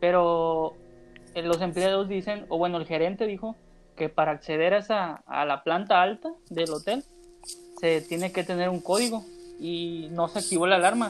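Pitched high, this man's voice keeps fairly even intonation. He speaks at a moderate pace. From Mazatlán, Mexico. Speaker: wrestling podcaster. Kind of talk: casual chat. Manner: halting, repeats words.

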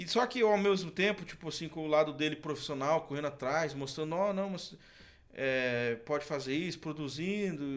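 The speaker has an unremarkable speaking voice, ordinary pitch variation, and a moderate pace. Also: man, fairly high pitch for a man. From Santa Catarina, Brazil (Canoinhas). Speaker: singer. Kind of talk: casual chat.

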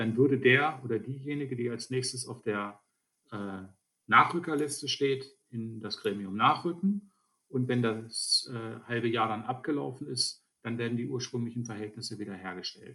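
This man has a bright, sharp tone. His pitch sits in the medium range. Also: ordinary pitch variation, moderate pace. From Lower Saxony, Germany (Alfeld). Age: 50s. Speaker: state politician. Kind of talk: interview.

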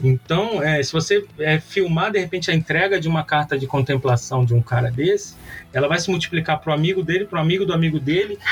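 Over background music, a man talks at a very fast pace with ordinary pitch variation. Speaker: marketing professor and agency owner. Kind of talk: interview. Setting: remote recording from agency office. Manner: casual, animated.

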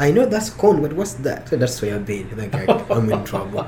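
A man at a fairly quick pace and fairly high pitch, with audible room echo and noticeable background noise. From Uganda, near Kampala. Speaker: farmer and university researcher. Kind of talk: interview. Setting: studio, in person. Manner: halting.

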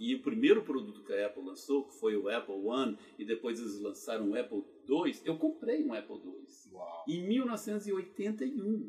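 A man's loudness swings widely while he talks at a moderate pace. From Brazil, Goiânia, Goiás. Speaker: geologist turned entrepreneur. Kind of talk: interview storytelling.

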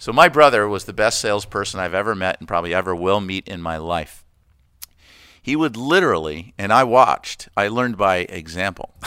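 With an American accent, a man talks in a normal speaking voice at a fairly low pitch and fairly quick pace, his intonation lively, on a very clean recording with a silent background. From US East Coast (Connecticut and Florida). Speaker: retired flight attendant and community volunteer. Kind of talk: casual interview.

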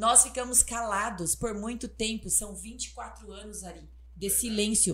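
A woman speaks at a fairly slow pace. Her loudness swings a lot. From Paraná, Brazil (Palmas). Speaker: political candidate. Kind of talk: interview. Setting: studio.

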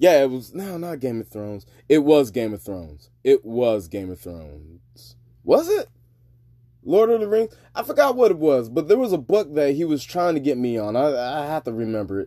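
The voice has a dark, mellow tone, very wide pitch swings and big swings in loudness at a moderate pace, on a very clean recording with a silent background. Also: man, fairly high pitch for a man. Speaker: podcast host. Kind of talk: casual solo monologue podcast. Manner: casual, profane, conversational.

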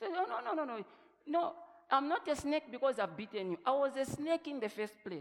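A man talks with an extremely high pitch at a fairly quick pace. His tone is animated and his intonation lively. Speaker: pastor. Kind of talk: sermon.

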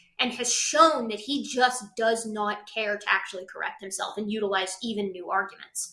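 A woman uses a normal speaking voice, moving at a moderate speed while her pitch shifts in an ordinary way. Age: 20s. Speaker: primatologist and science video creator. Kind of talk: casual chat. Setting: video call.

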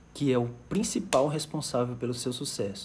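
Somewhat breathy and dark, mellow in tone, a man speaks at a fairly slow pace with medium pitch and ordinary pitch variation. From Fortaleza, Ceará, Brazil. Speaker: emotional intelligence coach. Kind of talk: live stream talk. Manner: animated.

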